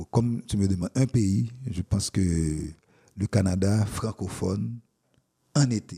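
A man's fairly low, dark, mellow voice, somewhat breathy, at a very slow pace with long, frequent pauses and ordinary pitch variation, dry and close with no echo. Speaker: poet and professor. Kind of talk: interview. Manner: halting.

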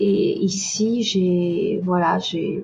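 Her voice is somewhat breathy, at a medium pitch for a woman. She speaks in a monotone, flat intonation. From southern France, Nîmes. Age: 40s. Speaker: expatriate. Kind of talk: interview.

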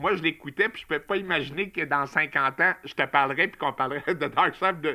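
Speaking at a moderate pace in a Quebec accent, a man has a bright, sharp tone and ordinary pitch variation on a very clean recording with a silent background. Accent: Québécois French. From Quebec, Montreal. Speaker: music enthusiast. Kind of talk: casual chat.

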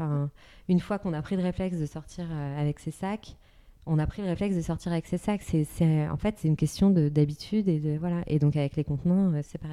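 A woman's dark, mellow voice, fairly quick and fairly even in intonation, on a very clean recording with a silent background. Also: fairly low pitch for a woman. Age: 30s. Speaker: entrepreneur. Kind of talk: interview conversation.

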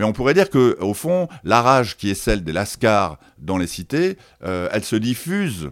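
On a very clean recording with a silent background, a man speaks at a fairly slow pace and fairly low pitch with very wide pitch swings. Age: 60s. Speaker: sociologist and author. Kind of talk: interview. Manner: halting, many repetitions and hesitations.

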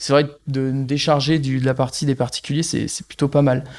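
Speaking at a moderate pace, a man with a fairly high pitch keeps a monotone, flat intonation. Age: 30s. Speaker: agricultural bank advisor, former dairy farmer. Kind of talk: interview. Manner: hesitant, many fillers.

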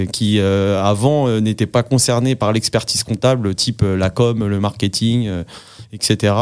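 Speaking at a very slow pace, a man with a fairly low pitch keeps his intonation fairly even in a very clean recording with a silent background. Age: 30s. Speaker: chartered accountant. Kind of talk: casual interview. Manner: hesitant with many fillers.

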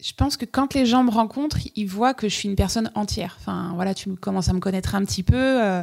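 A woman's normal speaking voice at medium pitch, ordinary pitch variation and a fairly quick pace, on a very clean recording with a silent background. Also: hardly any pauses. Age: 40s. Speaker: wedding photographer. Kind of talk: casual chat. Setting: at the guest's home.

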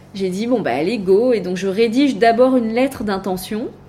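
A woman talks fairly quickly with ordinary pitch variation while noticeable background noise runs underneath. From Var, southern France (Hyères). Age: 30s. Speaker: entrepreneur, cancer survivor. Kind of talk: casual interview. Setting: in person at guest's office.

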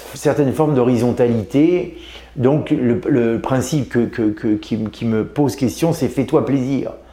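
Over noticeable background noise, a man speaks at a medium pitch and a fairly slow pace with ordinary pitch variation. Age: 50s. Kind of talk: interview. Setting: aboard a navy ship. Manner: halting, many hesitations.

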